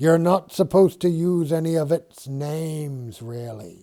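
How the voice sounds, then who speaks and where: Doing a put-on character voice, a man keeps a moderate pace and ordinary pitch variation, with big swings in loudness. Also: fairly high pitch for a man. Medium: read story. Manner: guarded, superstitious.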